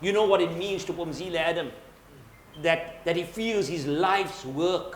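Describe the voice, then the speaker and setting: A man's high-pitched speech at a moderate pace with fairly even intonation, with audible room echo and noticeable background noise. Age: 60s. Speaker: book author. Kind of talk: panel discussion at book launch. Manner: halting, with frequent word repetitions.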